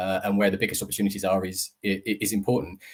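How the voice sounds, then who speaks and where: A man with a British accent and a fairly low pitch speaks at a fairly quick pace. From UK. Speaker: optimisation consultant. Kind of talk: webinar presentation. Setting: live online webinar. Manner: hesitant, many fillers.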